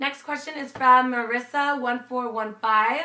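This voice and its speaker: Over noticeable background noise, a woman speaks at a fairly high pitch in an animated tone. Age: 20s. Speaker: beauty YouTuber. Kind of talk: casual Q&A vlog.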